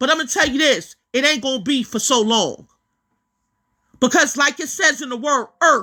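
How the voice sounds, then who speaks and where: In a very clean recording with a silent background, a woman with a high pitch uses a raised, projected voice, a bright, sharp tone and an animated tone, with lively intonation, a moderate pace and long, frequent pauses. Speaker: religious teacher. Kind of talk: preaching monologue.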